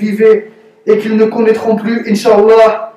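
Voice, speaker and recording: Noticeable background noise sits behind a man's high pitch. He speaks in a monotone, flat intonation. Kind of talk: read propaganda statement.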